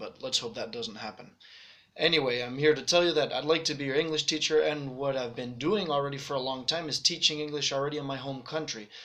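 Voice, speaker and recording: Man with an American accent at a very fast pace, fairly high in pitch, amid noticeable background noise. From Spain and Netherlands, raised internationally. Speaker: language teacher. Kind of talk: self-introduction sales pitch. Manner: casual, relaxed.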